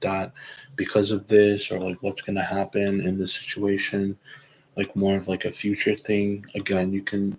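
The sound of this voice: Reading done in an unforced voice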